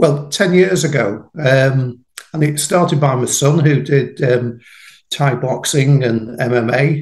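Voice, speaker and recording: A man with a British accent, fairly high-pitched and somewhat breathy, with ordinary pitch variation. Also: fairly slow pace. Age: 60s. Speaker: farmer and jiu-jitsu practitioner. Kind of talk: casual interview chat. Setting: podcast interview.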